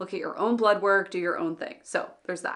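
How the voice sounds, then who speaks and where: Against noticeable background noise, a woman talks in an animated tone. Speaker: business owner and online educator. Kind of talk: vlog monologue. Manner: fast.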